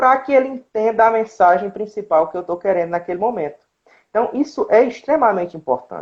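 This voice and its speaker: This man's intonation is lively. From Ceará, Brazil (Independência). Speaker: zootechnics student and speaker. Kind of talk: online talk / lecture. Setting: live stream.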